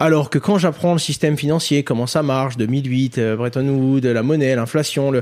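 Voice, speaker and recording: A man's fairly high voice, a plain, everyday voice, at a moderate pace with hardly any pauses, fairly even intonation and very even loudness, on a very clean recording with a silent background. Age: 20s. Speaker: crypto educator and entrepreneur. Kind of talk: interview.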